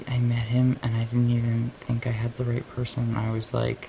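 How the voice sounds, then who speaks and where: A man speaks quietly at a fairly slow pace. His medium-pitched voice stays monotone and flat. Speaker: video blogger. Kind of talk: casual chat.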